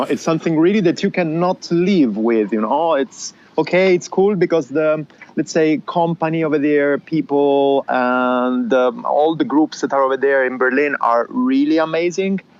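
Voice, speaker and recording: The speaker has an Italian accent and keeps the loudness very even. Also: man, fairly high pitch for a man, lively intonation, moderate pace. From southern Italy. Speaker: podcast guest, cyclist and podcaster. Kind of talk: casual interview chat.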